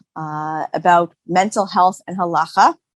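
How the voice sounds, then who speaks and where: A woman's very slow speech with a Boston accent, in a dry, close sound with no echo. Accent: American, Boston area. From US Northeast, Boston. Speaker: physician and halakha scholar. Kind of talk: interview conversation. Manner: hesitant, many fillers.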